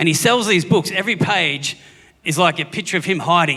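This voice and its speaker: In an Australian accent, the speech moves at a fairly quick pace with ordinary pitch variation. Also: man. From Australia, Gippsland, Victoria. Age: 40s. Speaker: comedian. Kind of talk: stand-up. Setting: stage with audience.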